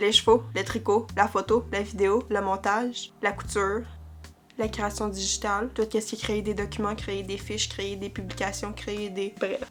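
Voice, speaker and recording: Music plays behind a woman who talks at a moderate speed. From Quebec. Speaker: vlogger. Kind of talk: casual chat. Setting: at home, on a couch in her bedroom.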